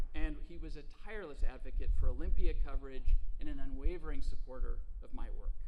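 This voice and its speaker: Noticeable background noise sits behind a man talking at a very fast pace. His loudness swings widely. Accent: American. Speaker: public radio political reporter. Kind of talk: award acceptance speech. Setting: stage with audience at ceremony.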